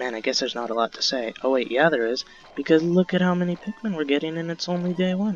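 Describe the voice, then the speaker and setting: Over noticeable background noise, a man with a fairly high pitch rattles along at a very fast pace with lively intonation. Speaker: game modder and gameplay video creator. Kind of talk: unscripted gameplay commentary. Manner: casual, halting with fillers.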